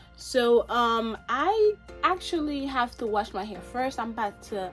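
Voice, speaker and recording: A woman at a fairly high pitch and a very slow pace, with music in the background. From Haiti. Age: 20s. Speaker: hair care vlogger. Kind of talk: casual talk to camera.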